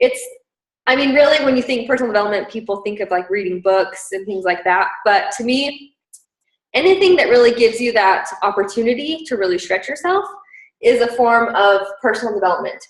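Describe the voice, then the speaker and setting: At a fairly quick pace, a woman speaks with lively intonation and a fairly high pitch. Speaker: team leader in direct sales business. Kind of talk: team training. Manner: fast.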